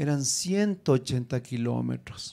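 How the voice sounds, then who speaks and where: A man speaks in a dark, mellow tone. Behind him the background is quiet. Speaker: preacher teaching preachers. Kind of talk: sermon-style teaching with prayer. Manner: animated, fervent, exhorting the audience; rhetorical questions, emphatic repetition. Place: hall. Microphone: handheld.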